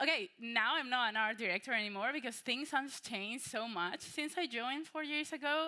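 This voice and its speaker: A woman with a Spanish accent, moderate pace and ordinary pitch variation. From Spain, Malaga. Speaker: workshop presenter, AI creative consultant. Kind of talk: conference workshop talk. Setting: conference room with audience. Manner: casual, many fillers.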